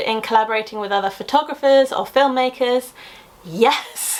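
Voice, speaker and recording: A woman's high, animated voice with a British accent at a fairly quick pace, over noticeable background noise. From London area, England. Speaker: science communicator YouTuber. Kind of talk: casual Q&A vlog.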